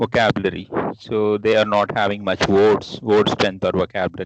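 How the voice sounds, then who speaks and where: A man's fairly low, monotone, flat delivery at a moderate pace, the sound dry and close with no echo. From India, Hyderabad. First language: Telugu. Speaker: English teacher, professor. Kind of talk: interview. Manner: halting, many fillers.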